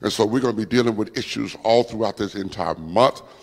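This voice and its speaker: A man's fairly quick speech against a quiet background. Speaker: preacher. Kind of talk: sermon. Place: church. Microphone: handheld.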